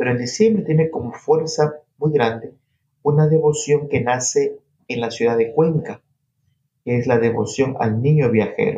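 With a plain, everyday voice, a man speaks at a fairly slow pace, using lively intonation at a fairly high pitch. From coastal Ecuador (Guayas province). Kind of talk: interview.

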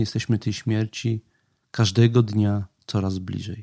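The voice has a dark, mellow tone and a calm tone, moving at a very slow pace with fairly even intonation, recorded dry and close with no echo on a very clean recording with a silent background. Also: man. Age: 50s. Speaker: podcast host on Stoicism. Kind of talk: reflective monologue.

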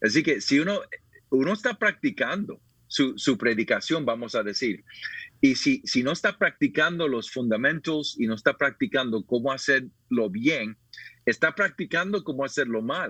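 A man with a fairly high pitch and a bright, sharp tone speaks at a moderate pace, his pitch swinging very widely, in a dry, close sound with no echo. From Puerto Rico. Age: 50s. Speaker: pastor and author. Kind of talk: interview, personal testimony.

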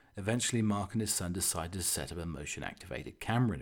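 In a very clean recording with a silent background, a man talks very fast at a fairly low pitch with lively intonation. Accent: British. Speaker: podcast host. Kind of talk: casual chat, comedic monologue. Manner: chatty, humorous, rambling.

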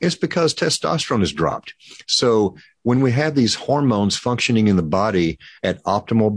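A man speaks at a moderate pace in an ordinary speaking voice. The sound is dry and close with no echo, over a quiet background. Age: 60s. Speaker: pharmacist. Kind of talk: interview.

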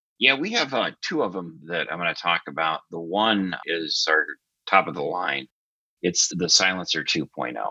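A man with a very deep, low pitch and vocal fry speaks at a moderate pace. His tone is bright and sharp, with lively intonation. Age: 50s. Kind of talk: casual interview.

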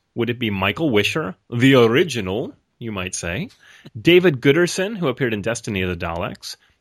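With an ordinary speaking voice, a man talks at a moderate pace and medium pitch with lively intonation, on a very clean recording with a silent background. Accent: American. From Rochester, New York. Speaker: podcast co-host. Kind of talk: casual chat.

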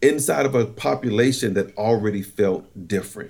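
A man with an American accent has an ordinary speaking voice, lively intonation, and a moderate pace. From eastern North Carolina, US South. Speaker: corporate trainer and military veteran. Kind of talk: interview.

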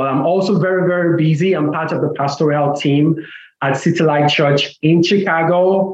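At a moderate pace, a man speaks with a fairly high pitch for a man and fairly even intonation. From Nigeria. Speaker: pastor and author. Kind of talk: interview about faith.

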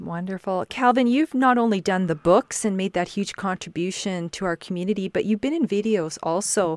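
In a Canadian prairie accent, a woman talks at a fairly quick pace with hardly any pauses, her medium pitch showing ordinary variation, in a dry, close sound with no echo. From Saskatchewan, Canada. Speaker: podcast host. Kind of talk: podcast interview.

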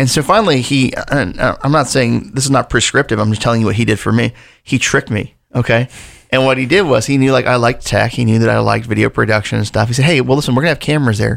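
A man talks at a very fast pace with vocal fry. The recording is very clean, with a silent background. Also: medium pitch for a man, ordinary pitch variation. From Delaware, US. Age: 40s. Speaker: pastor. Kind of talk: casual chat.

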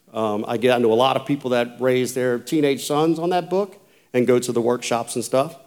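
Talking at a fairly quick pace in a Louisiana accent, a man uses ordinary pitch variation. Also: medium pitch for a man. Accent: southern US (Louisiana). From US South, rural south Louisiana. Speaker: former Navy SEAL, conference speaker. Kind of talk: motivational talk to a men's conference.

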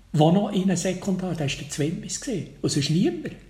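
With a Bernese accent, a man talks at a fairly quick pace in a high voice, and the room echo is audible. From Switzerland, Bernese Oberland near Lake Thun. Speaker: crime novelist, retired teacher. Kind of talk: interview.

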